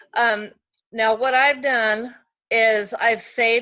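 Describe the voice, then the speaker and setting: A woman speaks at a fairly slow pace with a fairly high pitch. Hers is an ordinary speaking voice. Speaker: direct sales consultant training team. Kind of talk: online training session.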